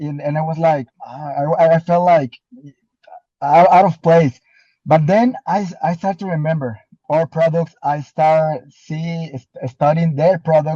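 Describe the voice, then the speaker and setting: With a non-native accent, a man speaks slowly at a fairly high pitch in a dark, mellow tone, with ordinary pitch variation and a dry, close sound with no echo. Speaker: distributor. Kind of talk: motivational testimony. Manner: halting, many repetitions.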